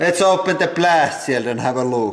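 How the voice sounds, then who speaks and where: With a Finnish accent, a man speaks against noticeable background noise. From Finland. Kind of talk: casual talk to camera.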